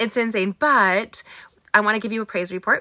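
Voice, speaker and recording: A loud voice with a bright, sharp tone and fairly even intonation comes through in a dry, close sound with no echo. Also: woman. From California, US. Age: 40s. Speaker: craft instructor. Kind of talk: live craft tutorial and chat. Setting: livestream from home studio in attic. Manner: fast.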